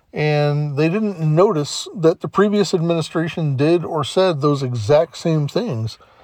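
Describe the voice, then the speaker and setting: Against noticeable background noise, a man with a fairly high pitch talks at a fairly slow pace with hardly any pauses and ordinary pitch variation. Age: 50s. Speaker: podcast host. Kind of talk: solo monologue podcast.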